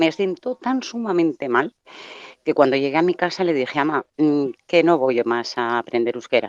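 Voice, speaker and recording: With very wide pitch swings, a woman talks at a moderate pace in a very deep, low voice, the sound dry and close with no echo. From Basque Country, Bilbao. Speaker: caller. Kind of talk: testimony.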